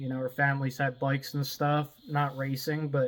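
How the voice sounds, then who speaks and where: Monotone and flat, a man's fairly high voice moves at a fairly slow pace. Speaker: drag racing vlogger. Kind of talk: casual vlog talk. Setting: outdoors at home by the car. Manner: quieter, keeping voice down outdoors.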